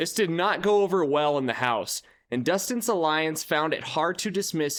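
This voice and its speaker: A man's fairly high voice with lively intonation at a moderate pace, on a very clean recording with a silent background. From Montana. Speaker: YouTube reality TV commentator. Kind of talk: YouTube commentary narration.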